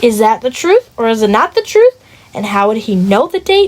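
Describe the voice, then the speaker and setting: Over noticeable background noise, a woman talks at a fairly high pitch and a fairly quick pace with lively intonation. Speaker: book club member. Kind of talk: casual chat. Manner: animated.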